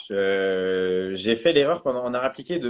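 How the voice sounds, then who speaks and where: A man talks in an ordinary speaking voice. His pace is fairly slow, with ordinary pitch variation. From northern France. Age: 20s. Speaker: calligrapher. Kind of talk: casual chat. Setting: live stream interview.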